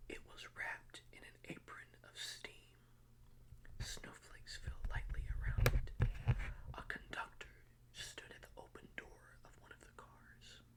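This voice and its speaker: Someone whispers at a fairly slow pace, with long, frequent pauses. Noticeable background noise runs underneath. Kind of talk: read story. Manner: whispered.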